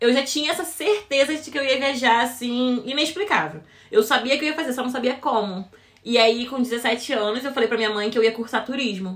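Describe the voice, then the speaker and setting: In a Rio de Janeiro accent, the speaker moves at a fairly quick pace over noticeable background noise. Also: woman, high pitch for a woman, lively intonation. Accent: carioca. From Rio de Janeiro, Brazil. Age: 20s. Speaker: cruise ship crew member. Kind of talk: podcast interview.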